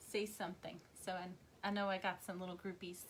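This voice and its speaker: A woman with a Tennessee accent speaks at a moderate pace. Her tone is relaxed. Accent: Southern US twang, increasingly Tennessee. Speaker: craft demonstrator and seller. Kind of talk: live craft tutorial. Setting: livestream. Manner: soothing; chatty, relaxed.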